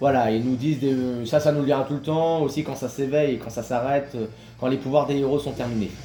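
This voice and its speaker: Fairly even intonation marks speech at a fairly quick pace, heard over noticeable background noise. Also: man, fairly high pitch for a man. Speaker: gaming youtuber. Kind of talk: gameplay commentary. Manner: fast.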